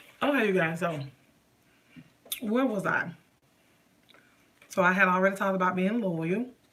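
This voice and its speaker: The speaker keeps a moderate pace, broken by long, frequent pauses. Noticeable background noise is present. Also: woman, medium pitch for a woman, ordinary pitch variation. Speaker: lifestyle vlogger. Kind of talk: casual live stream chat. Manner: loud.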